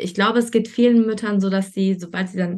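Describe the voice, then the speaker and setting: A somewhat breathy woman with a medium pitch speaks fairly quickly in a monotone, flat intonation. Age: 30s. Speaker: online marketing coach. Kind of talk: interview.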